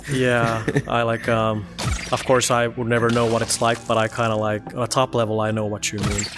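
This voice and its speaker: A man talking at a fairly quick clip in a flat monotone, with music playing behind him. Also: medium pitch for a man. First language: not English. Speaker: gamer host. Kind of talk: casual chat.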